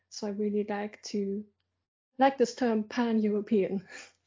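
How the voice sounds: A woman at medium pitch, fairly slow, with fairly even intonation, a dark, mellow tone and a slightly husky edge.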